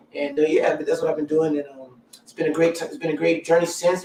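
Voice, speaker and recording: A man's fairly high-pitched voice with an American accent, very fast and monotone, flat in intonation, over noticeable background noise. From US South, Columbia, South Carolina. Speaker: musician and entertainer. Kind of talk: interview. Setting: live stream.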